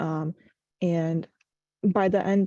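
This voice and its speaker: A woman in a Russian accent, fairly low in pitch with a dark, mellow tone, in a dry, close sound with no echo. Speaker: university student, program alumna. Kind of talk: online information session.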